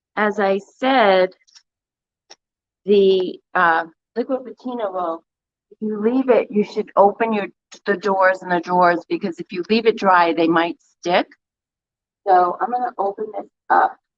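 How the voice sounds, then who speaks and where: Pausing long and often, a woman speaks at a fairly slow pace with ordinary pitch variation. The sound is dry and close, with no echo. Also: medium pitch for a woman. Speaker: DIY paint retailer. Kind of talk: livestream tutorial. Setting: livestream from her store. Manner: loud.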